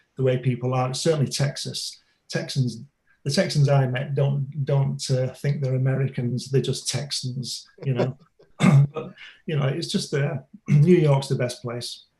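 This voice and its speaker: A man's somewhat breathy voice with an English accent, medium pitch, dark, mellow tone and fairly even intonation. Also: fairly slow pace. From Manchester, northern England. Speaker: graphic designer and comic author. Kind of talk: interview.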